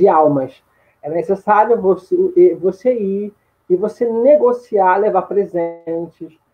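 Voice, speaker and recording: Speaking very slowly, a man uses ordinary pitch variation. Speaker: history teacher in training. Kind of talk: online lecture. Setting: live stream. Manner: halting, many repetitions.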